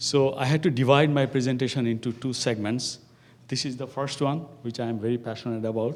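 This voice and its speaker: With a non-native accent, a man speaks at medium pitch and fairly even intonation, and audible room echo surrounds him. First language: not English. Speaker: professor. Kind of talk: lecture. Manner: halting, many fillers.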